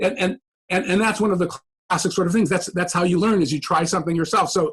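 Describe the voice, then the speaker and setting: With ordinary pitch variation, a man speaks at a high pitch. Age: 60s. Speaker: professor. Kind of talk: podcast interview. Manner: halting, many repeated words.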